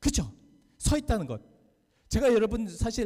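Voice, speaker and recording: Lively intonation marks a man's dark, mellow voice as he speaks at a fairly quick pace. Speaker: pastor. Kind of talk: sermon. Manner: loud.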